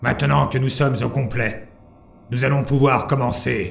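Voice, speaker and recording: A raspy, put-on character voice. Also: man, medium pitch for a man, moderate pace. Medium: audio drama. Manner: formal, commanding, slow.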